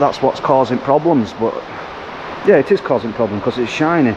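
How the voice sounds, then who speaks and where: Over noticeable background noise, a man talks at a moderate pace, his pitch fairly high with ordinary variation. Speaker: sandblaster. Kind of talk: casual work vlog talk to camera.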